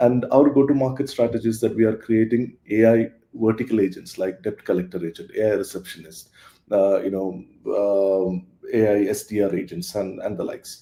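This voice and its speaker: Fairly low-pitched male voice with a dark, mellow tone, ordinary pitch variation and a fairly quick pace. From South India. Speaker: tech startup CEO. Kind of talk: interview answer.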